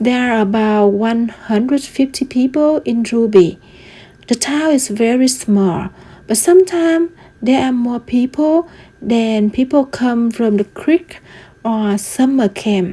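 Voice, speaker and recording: This woman's voice sits high in pitch, with ordinary pitch variation. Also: fairly slow pace. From Vietnam. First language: Vietnamese. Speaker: student. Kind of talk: class presentation.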